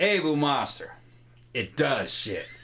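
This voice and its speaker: A man does a put-on character voice, drawling in a fairly high pitch. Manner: slow drawl.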